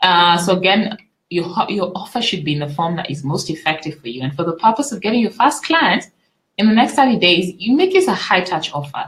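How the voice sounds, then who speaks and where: Somewhat breathy speech moves at a fairly quick pace with very wide pitch swings. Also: woman. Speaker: business coach. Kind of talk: webinar. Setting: live online webinar. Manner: fast.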